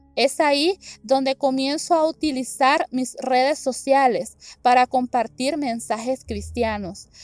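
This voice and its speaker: At a very slow pace, a woman talks in a high voice with ordinary pitch variation, the sound dry and close with no echo. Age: 20s. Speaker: church member. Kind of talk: testimony.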